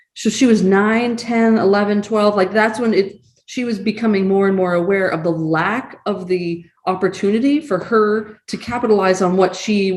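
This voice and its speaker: At a moderate pace, a woman talks in an ordinary speaking voice of medium pitch with ordinary pitch variation. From Massachusetts, Acton. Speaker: community nonprofit board member. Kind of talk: panel discussion.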